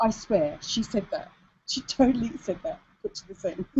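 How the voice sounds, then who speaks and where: Her somewhat breathy voice swings very widely in pitch as the woman speaks. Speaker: business coach for women entrepreneurs. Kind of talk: webinar presentation. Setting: online video hangout. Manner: fast.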